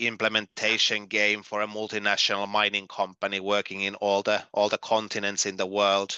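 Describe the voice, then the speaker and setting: A man in a Finnish accent talks with monotone, flat intonation. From Finland. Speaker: gamification trainer and consultant. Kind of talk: online workshop presentation. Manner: halting, many fillers and repeats.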